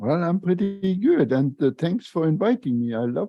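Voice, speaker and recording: With a Luxembourgish accent, a man talks in very wide pitch swings over music in the background. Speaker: retired engineer and lean consultant, author. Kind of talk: podcast interview. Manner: halting, many fillers.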